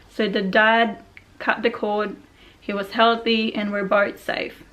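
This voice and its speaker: Mumbling at a fairly slow pace, a woman speaks with a fairly high pitch and monotone, flat intonation. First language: not English. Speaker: vlogger. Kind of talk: personal story reading from notes.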